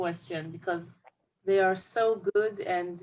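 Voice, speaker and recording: A woman with an Israeli accent speaks at a very slow pace and a medium pitch. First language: Hebrew. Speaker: film director. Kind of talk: interview. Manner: halting.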